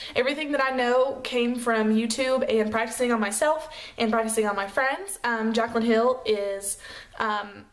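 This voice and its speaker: A woman with an American accent speaks at a moderate pace and very even loudness. Her pitch is fairly high with ordinary variation, and room echo is audible. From US South, Chattanooga, Tennessee. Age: 20s. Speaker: beauty vlogger, makeup artist. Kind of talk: casual vlog chat. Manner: casual, lots of fillers.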